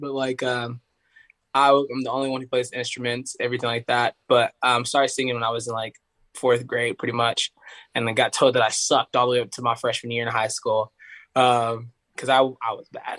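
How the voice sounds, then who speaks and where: Here a man speaks with an American accent. His sound is dry and close, with no echo. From US South, Tennessee (Knoxville area). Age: 20s. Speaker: singer. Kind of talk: casual chat. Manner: casual, filler-heavy.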